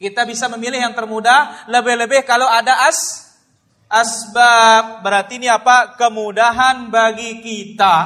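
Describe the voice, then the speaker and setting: In a raised, projected voice, a man speaks at a fairly slow pace with an extremely high pitch. His tone is bright and sharp, and his intonation is monotone and flat. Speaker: Islamic preacher. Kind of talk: religious lecture. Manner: loud.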